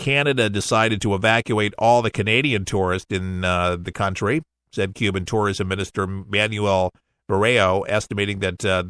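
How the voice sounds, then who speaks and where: Over a very clean, silent background with a dry, close sound and no echo, a man with an unremarkable speaking voice and fairly low pitch talks at a moderate pace with fairly even intonation. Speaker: radio talk show host. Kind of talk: radio news commentary.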